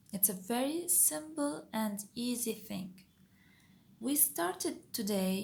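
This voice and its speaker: A woman with a non-native accent, medium pitch, a somewhat breathy sound, and a very slow pace. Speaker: engineering tutor, video creator. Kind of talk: tutorial. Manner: step-by-step, occasionally self-correcting.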